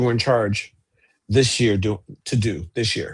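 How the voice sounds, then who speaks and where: Somewhat breathy, a man speaks at a moderate pace. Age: 60s. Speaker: archivist and co-host. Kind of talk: casual chat.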